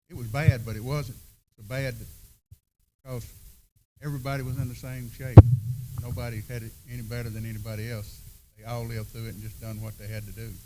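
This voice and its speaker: A somewhat breathy man with a Southern US accent and a dark, mellow tone, speaking at a very fast pace with long, frequent pauses and monotone, flat intonation amid audible room echo. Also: medium pitch for a man. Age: 70s. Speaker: seminar panelist. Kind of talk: panel discussion.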